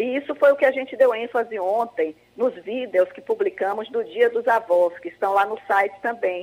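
A normal speaking voice from a woman, moderately paced, its pitch varying in an ordinary way. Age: 60s. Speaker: project founder, retiree. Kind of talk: radio interview.

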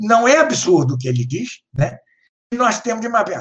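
Moving at a fairly slow pace, a man speaks with very wide swings in pitch. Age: 70s. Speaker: professor and author. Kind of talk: lecture-style discussion. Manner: halting.

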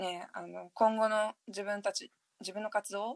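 This very clean recording has a silent background and a dry, close sound with no echo. A woman speaks at a medium pitch. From Japan, partly raised abroad (returnee). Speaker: podcast host. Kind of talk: casual chat. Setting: bathroom (recording from the changing room). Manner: relaxed.

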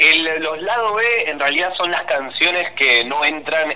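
There is noticeable background noise. A man's intonation over it is lively. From Argentina, Banfield (Buenos Aires). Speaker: musician. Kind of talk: interview. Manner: halting.

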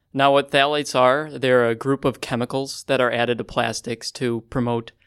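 With an American accent, the speaker talks at a moderate pace in a monotone, flat intonation, in a very clean recording with a silent background. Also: man. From Chicago, US Midwest. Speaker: undergraduate researcher. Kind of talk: casual interview. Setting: studio around a table.

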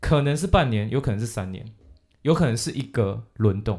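A plain, everyday voice moves at a fairly quick pace with a lively intonation. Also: man. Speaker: English teacher podcast host. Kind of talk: casual bilingual chat.

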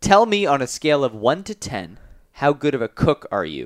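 At a moderate pace, a man with an American accent talks in a fairly high pitch, using very wide pitch swings and vocal fry. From Chicago. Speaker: college sports podcast host. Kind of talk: interview podcast.

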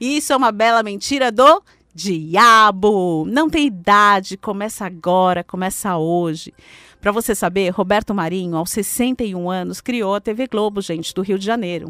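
In a bright, sharp, animated tone, a woman speaks at a fairly slow pace. The recording is very clean, with a silent background. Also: medium pitch for a woman, ordinary pitch variation. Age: 40s. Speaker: radio host and financial coach. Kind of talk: motivational radio talk.

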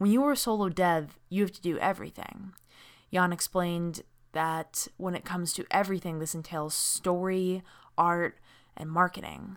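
Recorded very clean against a silent background, a woman with an ordinary speaking voice talks at a moderate pace, her fairly low pitch showing ordinary variation. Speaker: podcast host and games journalist. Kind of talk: scripted narration then casual panel discussion.

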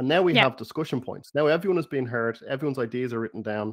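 A man speaks at a medium pitch with an Irish accent and ordinary pitch variation. The background is quiet. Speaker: podcast host. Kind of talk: interview, casual conversation.

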